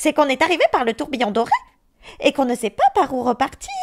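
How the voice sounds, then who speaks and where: A woman puts on a character voice, speaking very fast in a high pitch. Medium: read story.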